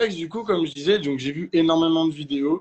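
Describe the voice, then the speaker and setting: Using an ordinary speaking voice, a man with a fairly high pitch and ordinary pitch variation speaks at a moderate pace. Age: young. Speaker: swimming instructor. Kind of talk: live online debate.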